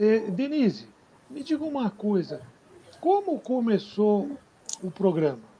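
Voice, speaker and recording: Amid noticeable background noise, the speech moves very slowly with long, frequent pauses and very wide pitch swings. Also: man, high pitch for a man. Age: 70s. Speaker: live stream host. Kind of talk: live interview.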